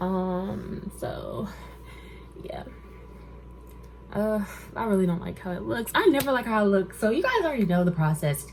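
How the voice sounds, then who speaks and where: A woman talks at a moderate pace, leaving long, frequent pauses. Noticeable background noise runs underneath. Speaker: vlogger. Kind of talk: casual vlog. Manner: animated.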